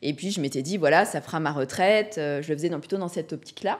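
The voice has ordinary pitch variation against a quiet background. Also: woman. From Brittany, France. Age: 40s. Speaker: real estate investor; podcast guest. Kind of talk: casual interview. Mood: calm, reflective. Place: studio. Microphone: studio mic.

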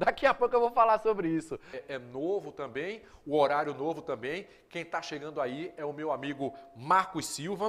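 This man's voice sits fairly high. His intonation is lively. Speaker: TV show host. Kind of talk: live TV presenting. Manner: fast. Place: studio. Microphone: lapel.

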